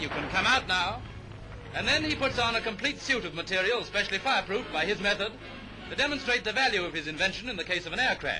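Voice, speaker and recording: This man has a high pitch and lively intonation at a very fast pace. Noticeable background noise runs underneath. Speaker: newsreel narrator. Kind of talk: newsreel narration.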